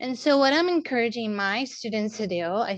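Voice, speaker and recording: The background is quiet. A woman speaks at a fairly slow pace with lively intonation. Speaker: art teacher. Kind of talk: practice talk. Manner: halting.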